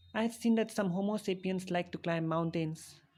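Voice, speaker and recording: With an Indian accent, a woman talks in a deadpan tone at a fairly low pitch. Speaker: animated character narrator. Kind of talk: comedic scripted narration.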